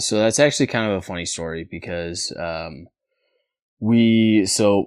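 With an American accent, the speaker talks at a very slow pace with ordinary pitch variation on a very clean recording with a silent background. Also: man. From Northern California, rural town near Oregon border. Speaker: former college baseball player. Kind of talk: casual interview. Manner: halting, many fillers.

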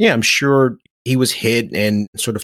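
Here is a man in an unremarkable speaking voice with an American accent. He speaks at a moderate pace and a medium pitch with fairly even intonation. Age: 40s. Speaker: author and motivational speaker. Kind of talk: casual interview chat.

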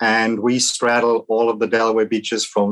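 A Welsh accent at a moderate pace, in a dry, close sound with no echo. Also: man. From Wales. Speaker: vacation rental business owner. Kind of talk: podcast interview.

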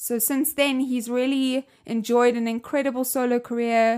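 In a South African accent, a woman speaks at a moderate pace with a playful tone but monotone, flat intonation. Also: very clean recording, silent background. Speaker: podcast host. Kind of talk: casual interview.

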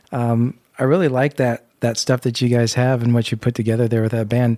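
An unremarkable speaking voice from a man with an American accent, medium in pitch and at a fairly quick pace, with a dry, close sound with no echo on a very clean recording with a silent background. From US Midwest, Indiana. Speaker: podcast co-host.

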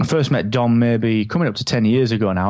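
The voice has an English accent. Its intonation stays fairly even. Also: man. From England. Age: 30s. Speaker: podcaster. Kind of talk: interview.

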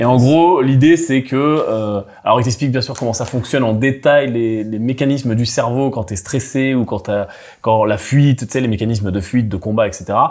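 A man speaks at a moderate pace in an unremarkable speaking voice, his pitch medium with ordinary variation. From Brittany, France. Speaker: podcast host. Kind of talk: casual business panel chat.

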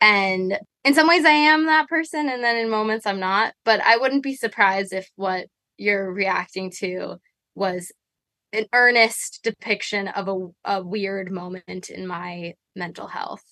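In an American accent, a woman with a medium pitch talks at a fairly slow pace, her tone bright and sharp and her intonation lively, in a dry, close sound with no echo. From New York City. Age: 20s. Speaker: musician, band member. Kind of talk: casual interview chat. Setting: tour bus, video call.

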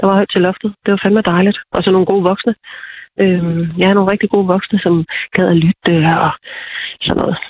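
Fairly even intonation and very even loudness at a moderate pace, broken by long, frequent pauses. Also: woman. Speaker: TV programme participant. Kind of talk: interview. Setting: phone call.

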